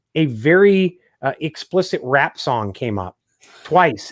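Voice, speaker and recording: With a Chicago accent, a man speaks very slowly at a fairly high pitch with very wide pitch swings, on a very clean recording with a silent background and a dry, close sound with no echo. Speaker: podcast host. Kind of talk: live podcast interview. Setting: live video stream. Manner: halting, many restarts.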